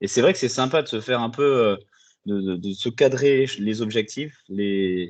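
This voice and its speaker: Against a quiet background, a man speaks at a moderate pace and a medium pitch. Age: 20s. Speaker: coaching client, export manager. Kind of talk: interview testimony. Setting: video call. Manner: hesitant, many filler sounds.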